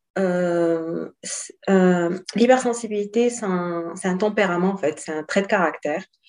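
This woman talks at a medium pitch. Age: 30s. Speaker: life coach. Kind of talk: interview.

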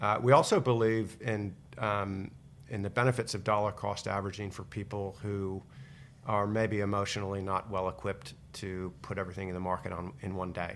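A plain, everyday voice with an American accent, fairly quick pace and fairly even intonation. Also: man, fairly low pitch for a man. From United States. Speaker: investment company co-founder. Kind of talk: casual interview about investing.

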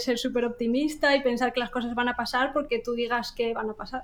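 A high-pitched woman's voice at a fairly quick pace. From Asturias, Spain. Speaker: visual effects line producer. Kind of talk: casual chat.

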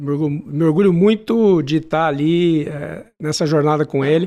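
An unremarkable speaking voice is heard here, with ordinary pitch variation. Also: man. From Brazil, Manaus and São José do Rio Preto. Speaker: lawyer and business executive. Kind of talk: interview.

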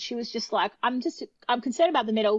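A woman's fairly high voice in an Australian accent, very fast and lively in intonation. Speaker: opera singer. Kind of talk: casual chat. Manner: animated.

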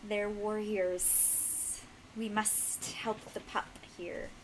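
A woman puts on a character voice at a medium pitch, speaking very slowly with a hiss. Background noise is clearly audible. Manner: intelligent, sibilant.

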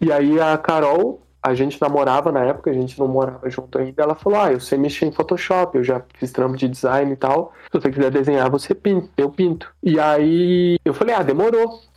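This man has a plain, everyday voice, pitched fairly high with ordinary variation. He talks at a fairly quick pace with hardly any pauses and very even loudness. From Caçapava, São Paulo interior, Brazil. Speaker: illustrator. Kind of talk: casual chat.

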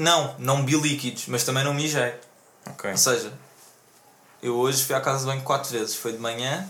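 At a moderate pace, a man talks at medium pitch with fairly even intonation, amid noticeable background noise and audible room echo. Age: 20s. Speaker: podcast host. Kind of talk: casual chat.

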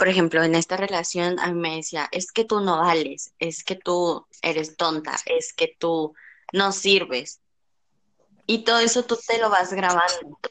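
In a plain, everyday voice, a woman talks at a fairly low pitch and fairly slow pace with ordinary pitch variation. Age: 20s. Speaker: podcast guest. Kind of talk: personal testimony.

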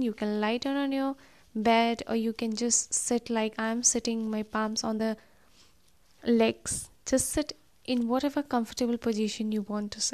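Delivered with fairly even intonation, this is a normal speaking voice. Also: woman, quiet background. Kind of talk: guided meditation. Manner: slow, soothing and gentle, with long pauses between instructions; warm, encouraging and inviting.

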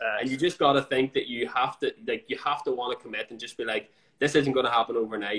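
A man with a Northern Irish accent, a very fast pace and big swings in loudness. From Northern Ireland. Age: 20s. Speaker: fitness coach. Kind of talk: casual chat. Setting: Instagram live.

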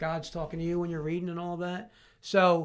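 A man speaks with a Philadelphia accent at a high pitch. The recording is very clean, with a silent background. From Southwest Philadelphia. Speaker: addiction recovery counselor. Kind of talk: casual interview.

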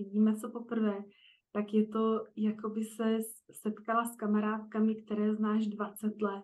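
A woman talks at a moderate pace in a monotone, flat intonation, pitched fairly high. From Czechia, Prague. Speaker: coach for highly sensitive women. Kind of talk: interview.

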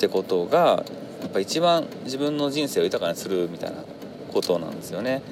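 Noticeable noise is present throughout. The man's delivery is fairly quick. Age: 30s. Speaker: podcaster. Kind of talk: solo monologue. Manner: halting, many fillers.

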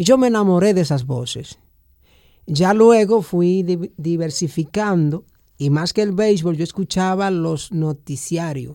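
The voice moves at a fairly slow pace, with a dark, mellow tone and ordinary pitch variation. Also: man, high pitch for a man. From Dominican Republic, rural Samaná. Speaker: journalist. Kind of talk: interview.

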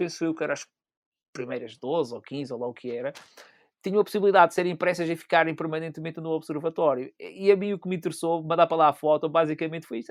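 A man speaks at a very fast pace and a high pitch, with ordinary pitch variation. The sound is dry and close with no echo, on a very clean recording with a silent background. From Azores, Pico island. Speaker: amateur photographer. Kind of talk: casual chat. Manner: halting.

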